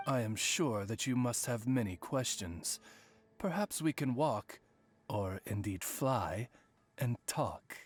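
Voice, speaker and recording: A man puts on a character voice at a medium pitch, speaking fairly slowly over faint background music. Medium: video game. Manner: polite, formal, measured.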